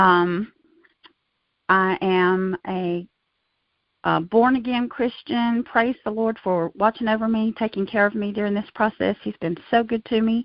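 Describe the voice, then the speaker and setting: This woman has a plain, everyday voice, pitched fairly high, with fairly even intonation and a fairly slow pace. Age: 60s. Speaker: knee replacement patient. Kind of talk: interview testimony.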